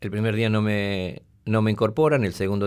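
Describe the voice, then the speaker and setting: A man with an ordinary speaking voice talks at a fairly quick pace in a fairly low pitch. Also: very clean recording, silent background. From Argentina, Tucumán. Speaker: war veteran. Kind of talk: testimony.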